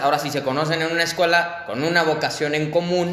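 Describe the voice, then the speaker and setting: Fairly quick, fairly high-pitched talking from a man, with noticeable background noise and audible room echo. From Mexico, Irapuato area. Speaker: podcast host interviewing architects. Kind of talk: interview. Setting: video call.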